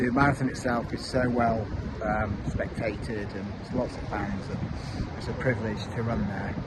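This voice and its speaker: A man speaks at a moderate pace with a medium pitch and fairly even intonation. Audible room echo and noticeable background noise surround him. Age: 50s. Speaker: amateur marathon runner vlogger. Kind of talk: casual vlog monologue. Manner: halting, many fillers.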